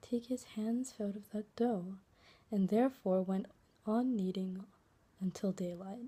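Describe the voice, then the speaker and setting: A soft-spoken woman with a dark, mellow tone and a somewhat breathy, fairly high voice talks at a fairly slow pace. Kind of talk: read fairytale.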